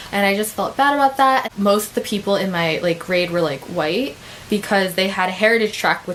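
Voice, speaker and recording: Noticeable background noise sits behind a woman with an American accent. She speaks at a medium pitch with lively intonation. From United States. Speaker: vlogger. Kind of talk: casual vlog talk. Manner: casual with many fillers.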